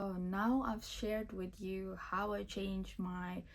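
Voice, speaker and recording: A woman's medium-pitched voice at a fairly slow pace, over noticeable background noise. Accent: non-native. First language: not English. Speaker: self-help video creator. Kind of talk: motivational talk. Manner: casual.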